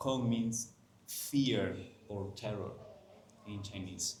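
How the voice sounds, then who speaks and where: With a Spanish accent and audible room echo, a man speaks very slowly at medium pitch, somewhat breathy, with ordinary pitch variation. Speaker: Chinese medicine teacher. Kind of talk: lecture. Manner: halting.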